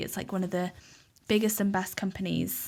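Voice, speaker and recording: With a Welsh accent and fairly even intonation, a woman speaks at a medium pitch in a very clean recording with a silent background. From Wales, Cardiff. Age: 20s. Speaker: podcaster and social media journalist. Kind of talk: casual interview chat.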